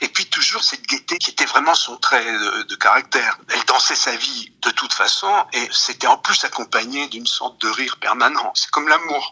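The pace is moderate. A man talks as noticeable background noise continues behind him. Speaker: interviewee commenting on the subject. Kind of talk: recorded interview testimony. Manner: reflective, hesitant with repetitions.

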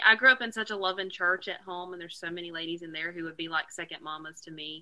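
A woman talks in a Southern US accent at a fairly low pitch. Her tone is bright and sharp. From North Carolina. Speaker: country singer. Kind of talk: casual chat.

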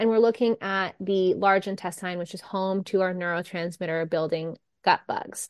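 Her voice is an unremarkable speaking voice at a medium pitch, with ordinary pitch variation and a moderate pace. The woman is recorded dry and close with no echo, over a quiet background. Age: 30s. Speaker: holistic nutritionist and anxiety coach. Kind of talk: casual interview chat.

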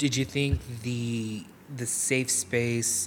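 Noticeable background noise fills the clip. Through it, a man talks at a medium pitch. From Delano, California Central Valley. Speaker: youth reporter. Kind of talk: interview.

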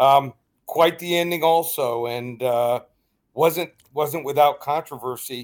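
Speaking with an American accent, a man uses a fairly high pitch and fairly even intonation at a very slow pace. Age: 50s. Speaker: sports betting analyst. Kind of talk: radio interview.

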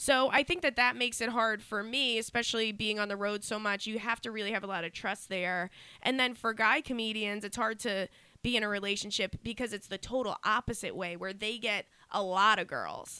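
Bright and sharp in tone, a woman speaks fairly quickly at a fairly high pitch. Her pitch variation is ordinary. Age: 20s. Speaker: comedian. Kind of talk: casual chat.

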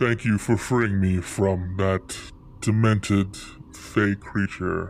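A man speaks at a very slow pace in a put-on character voice with fairly low pitch, over clear background noise. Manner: polite, grateful, formal.

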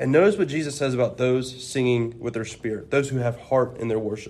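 A man with a plain, everyday voice, moderate pace and ordinary pitch variation. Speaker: preaching student. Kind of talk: religious discussion.

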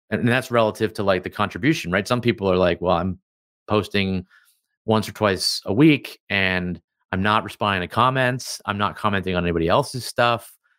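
A man with a normal speaking voice talks at a fairly quick pace in a fairly low pitch, with ordinary pitch variation. The recording is very clean, with a silent background. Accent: American. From Canada, then California. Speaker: personal branding consultant. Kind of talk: interview.

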